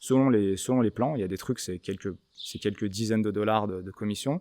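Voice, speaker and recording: Ordinary pitch variation at a moderate pace, in a very clean recording with a silent background. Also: man. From France. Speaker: gun shop owner. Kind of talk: interview conversation. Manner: casual, hesitant with many fillers.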